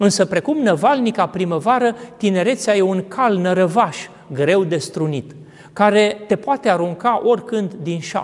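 A man speaks with a high voice. He talks at a fairly slow pace. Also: ordinary pitch variation. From Romania. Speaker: Orthodox priest. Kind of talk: sermon. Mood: calm, reflective. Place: church.

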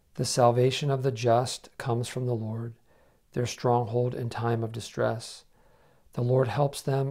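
A man speaks at a moderate pace against a quiet background. His voice is somewhat breathy, with a dark, mellow tone and monotone, flat intonation. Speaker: prayer co-leader. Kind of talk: liturgical prayer. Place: home room. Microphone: lapel.

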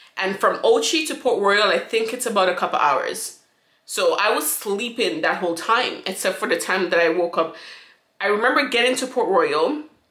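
With a bright, sharp tone and lively intonation, a woman talks at a moderate pace in a room with audible echo and a quiet background. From St. Vincent. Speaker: YouTuber; vlogger. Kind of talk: storytime monologue. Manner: casual, rambling with many fillers. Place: home room. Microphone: phone near.

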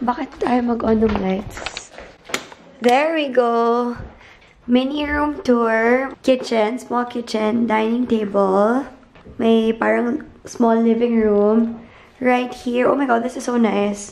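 The speech moves at a very slow pace. Its intonation stays fairly even. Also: woman, fairly high pitch for a woman. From Philippines. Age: 20s. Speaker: vlogger. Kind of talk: casual travel vlog talk to camera. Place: home room. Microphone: phone near.

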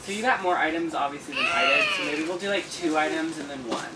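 The speaker talks at a very fast pace. Crowd noise can be heard in the background. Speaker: haul video host. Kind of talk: casual vlog chat. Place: home room. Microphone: camera far.

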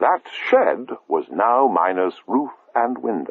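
Someone reads aloud. The delivery is plain.

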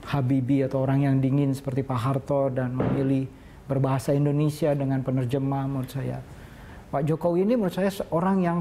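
Talking at a very fast pace, a man holds a very even loudness in a fairly high voice. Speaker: cultural observer. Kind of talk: interview answer. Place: studio. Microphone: lapel.

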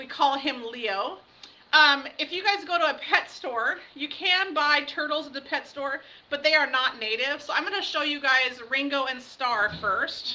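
Over light background noise, a woman uses a raised, projected voice with lively intonation at a fairly slow pace. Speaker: outdoor education teacher. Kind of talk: online lesson to students. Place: classroom. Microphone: webcam.

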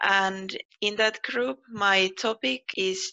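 A woman speaks with a Finnish accent. The background is quiet. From Finland. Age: 20s. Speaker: PhD researcher. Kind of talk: personal interview monologue. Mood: friendly, calm. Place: home room. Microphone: headset.

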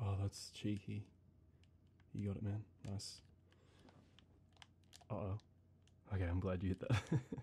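A soft-spoken, somewhat breathy man with a fairly low pitch and dark, mellow tone, at a fairly slow pace with fairly even intonation, long, frequent pauses and light background noise. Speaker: gamer. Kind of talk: ASMR gaming let's play chatter. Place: home room.

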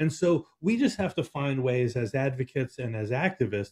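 A man's dark, mellow tone comes through with a quiet background. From California. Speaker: producer and co-host; co-host. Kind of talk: casual political talk show. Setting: studio, in person. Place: home room. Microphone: video call.

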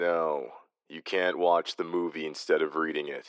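Delivered at a moderate pace, the put-on character voice carries a deadpan, tired tone. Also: man. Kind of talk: audio drama.

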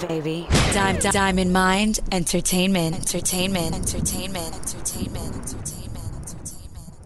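A woman speaks at a moderate pace in a medium pitch, her intonation monotone and flat. She hardly pauses at all, with music playing in the background. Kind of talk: DJ drop / producer beat tag.

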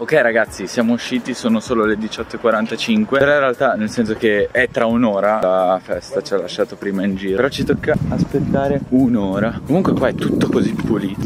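A man talks at a fairly quick pace, his voice dry with no echo, over loud background noise. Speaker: travel vlogger. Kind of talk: casual vlog chat. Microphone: phone near.

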